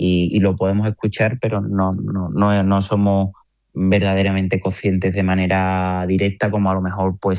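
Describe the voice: With a slightly mellow tone, a man speaks in a low pitch and a monotone, flat intonation.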